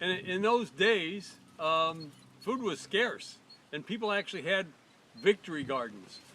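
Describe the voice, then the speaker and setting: A man talks in a raised, projected voice pitched high for a man, with lively intonation. Long, frequent pauses break up his speech. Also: fairly slow pace. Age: 70s. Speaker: host's father sharing diet story. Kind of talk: personal storytelling. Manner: repeats words, halting.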